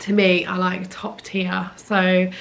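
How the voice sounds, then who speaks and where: A woman speaks with a British accent. Her voice carries audible room echo, and there is noticeable background noise. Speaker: lifestyle YouTuber. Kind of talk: casual vlog chat. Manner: chatty, hesitant fillers.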